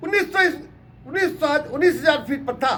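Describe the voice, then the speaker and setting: Pitched extremely high, a man's voice shows ordinary pitch variation. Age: 80s+. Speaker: retired paramilitary officer. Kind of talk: interview monologue. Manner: impassioned, rhetorical.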